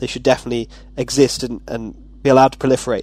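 A man is talking. His delivery is very fast. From Wirral near Liverpool, England, then British Columbia, Canada. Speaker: university student, podcast panelist. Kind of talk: casual panel discussion.

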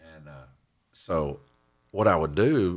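Vocal fry marks the very deep, low pitch of a man speaking in a Texan accent. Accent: Texan Southern US. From Central Texas. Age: 50s. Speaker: church member sharing testimony. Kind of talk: testimony.

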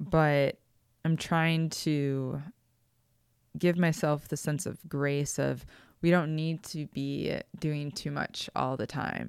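Someone with an American accent speaks at a very slow pace with long, frequent pauses and fairly even intonation. The recording is very clean, with a silent background. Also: woman, very deep, low pitch for a woman. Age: 30s. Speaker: author. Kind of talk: interview.

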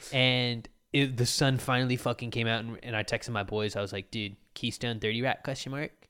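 A man at a medium pitch and fairly quick pace, in a very clean recording with a silent background. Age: 20s. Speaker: podcast host. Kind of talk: casual chat. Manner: animated.

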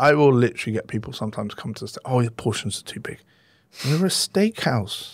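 A man with an English accent, lively in intonation and fairly quick in pace, on a very clean recording with a silent background. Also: medium pitch for a man, big swings in loudness. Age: 40s. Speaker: chef. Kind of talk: interview.

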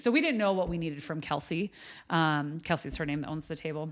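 A woman with an American accent talks at a very fast pace, her pitch fairly low with ordinary variation. The recording is very clean, with a silent background. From US West (Wyoming). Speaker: coffee house owner and life coach. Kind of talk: casual chat.

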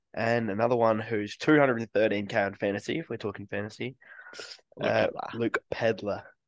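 Fairly quick speech with fairly even intonation in an Australian accent, the sound dry and close with no echo. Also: man, medium pitch for a man. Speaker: sports podcast co-host. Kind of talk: casual chat.

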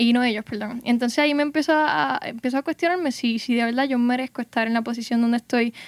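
Speaking at a very fast pace, a woman uses a high pitch and fairly even intonation. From Puerto Rico, Gurabo. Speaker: undergraduate microbiology student. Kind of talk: casual panel conversation.

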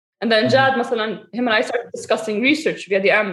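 Somewhat breathy, a woman talks at a very fast pace. Her pitch is fairly high, with ordinary variation. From Saudi Arabia and Lebanon. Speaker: fitness coach and researcher. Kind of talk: casual interview chat.

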